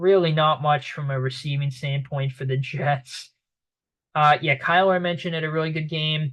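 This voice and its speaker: At a moderate pace and with fairly even intonation, this speaker talks with a slight Boston accent. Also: man, fairly high pitch for a man. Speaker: sports commentator. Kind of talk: sports recap monologue. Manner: casual, many fillers.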